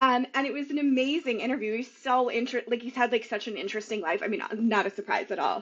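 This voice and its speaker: Animated in tone, a woman speaks fairly quickly in a fairly high voice with ordinary pitch variation. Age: 40s. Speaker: novelist. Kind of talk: casual chat. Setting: podcast interview.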